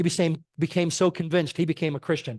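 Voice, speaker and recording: Over a quiet background, a man with a fairly high pitch talks at a very fast pace. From Connecticut, US. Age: 60s. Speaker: physician and lay speaker. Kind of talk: church talk.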